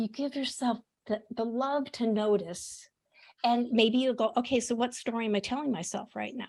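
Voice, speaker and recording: A plain, everyday voice, belonging to a woman, pitched fairly high and with ordinary pitch variation. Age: 60s. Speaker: podcast host and author, interview guest. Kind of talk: casual interview chat.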